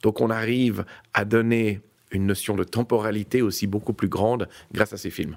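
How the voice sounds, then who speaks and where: An unremarkable speaking voice from a man, fairly low in pitch, at a moderate pace with fairly even intonation, on a very clean recording with a silent background. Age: 50s. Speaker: real estate executive. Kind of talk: interview.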